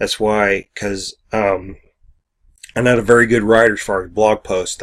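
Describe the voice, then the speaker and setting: Mumbling from a man with a fairly low pitch, moderate pace and monotone, flat intonation. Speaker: online business vlogger. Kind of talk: casual video monologue. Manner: halting.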